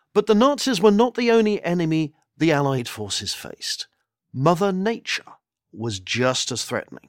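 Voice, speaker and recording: A man with a British accent in a dramatic tone, very wide pitch swings and a moderate pace, dry and close with no echo, on a very clean recording with a silent background. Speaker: military historian. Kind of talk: history documentary narration. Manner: measured, solemn, authoritative; dramatic, steady pacing.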